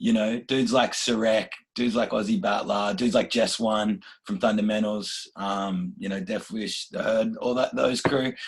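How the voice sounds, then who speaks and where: A man speaks with an Australian accent. His pace is moderate. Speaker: rapper. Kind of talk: interview.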